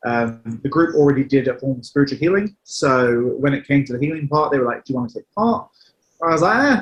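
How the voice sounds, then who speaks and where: A man's very fast, somewhat breathy speech, fairly high in pitch, with ordinary pitch variation. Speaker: medium and healer. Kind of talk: interview answer. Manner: casual, hesitant.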